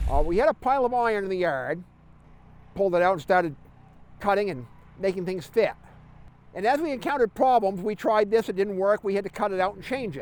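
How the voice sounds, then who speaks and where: Talking at a very fast pace yet with long, frequent pauses, a man uses lively intonation at a high pitch. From New Hampshire. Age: 60s. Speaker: competition team captain. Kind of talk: interview.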